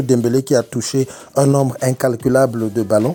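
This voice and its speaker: With fairly even intonation, a man's medium-pitched voice carries a dark, mellow tone. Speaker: football youtuber. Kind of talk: match analysis monologue. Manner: soft-spoken; halting.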